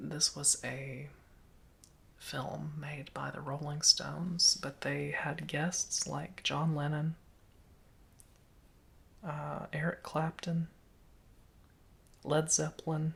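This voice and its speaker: The voice is soft-spoken with a relaxed tone. It moves at a very slow pace with long, frequent pauses. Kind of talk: ASMR soft-spoken show and tell, casual talk to camera. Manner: soft-spoken, relaxed.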